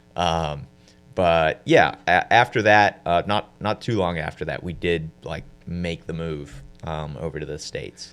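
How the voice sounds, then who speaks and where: Over music in the background, the voice moves at a fairly slow pace with ordinary pitch variation and big swings in loudness. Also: man, very deep, low pitch for a man. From US (born South Africa, moved at four). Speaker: beginning real estate investor. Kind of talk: interview.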